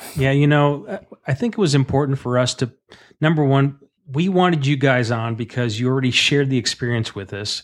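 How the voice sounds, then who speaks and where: In a very clean recording with a silent background, a man talks at a fairly quick pace in a plain, everyday voice, medium in pitch with ordinary pitch variation. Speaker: podcast co-host. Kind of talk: casual chat.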